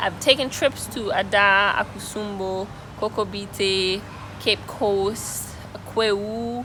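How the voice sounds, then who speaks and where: There's noticeable background noise behind this woman's voice. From Antigua. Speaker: travel vlogger. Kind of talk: interview answer.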